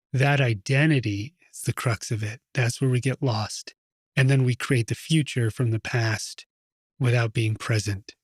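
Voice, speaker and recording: A somewhat breathy man at a fairly slow pace with fairly even intonation, in a very clean recording with a silent background and a dry, close sound with no echo. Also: medium pitch for a man. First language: Russian. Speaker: meditation teacher. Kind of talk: talk before a guided meditation. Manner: relaxed, conversational.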